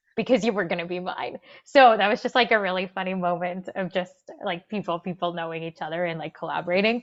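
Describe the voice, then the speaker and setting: A very fast-paced woman's voice in a medium pitch with a Spanish accent and ordinary pitch variation. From Argentina, raised in Winnipeg, Canada from age nine. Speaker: people and culture executive. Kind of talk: casual interview chat. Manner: animated.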